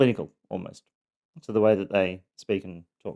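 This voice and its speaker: A man's dark, mellow voice with an Australian accent and monotone, flat intonation. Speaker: abuse survivor podcaster. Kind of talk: personal testimony. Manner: halting, many fillers; sometimes monotone, clinical.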